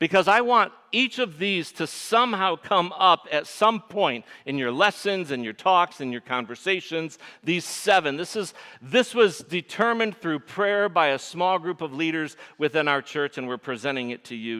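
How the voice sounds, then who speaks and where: Speaking at a moderate pace with a Michigan accent, a man uses a fairly high pitch with very wide swings and a bright, sharp tone. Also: big swings in loudness. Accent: Michigan nasal. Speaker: pastor. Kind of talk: sermon.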